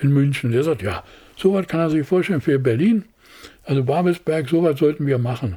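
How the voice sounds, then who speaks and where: Fairly quick and lively in intonation, a man speaks at a fairly high pitch. His tone is dark, mellow and somewhat breathy. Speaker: production designer. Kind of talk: interview. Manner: halting.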